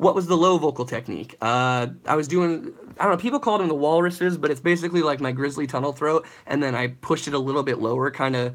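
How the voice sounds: Fast speech with ordinary pitch variation. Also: man, fairly high pitch for a man.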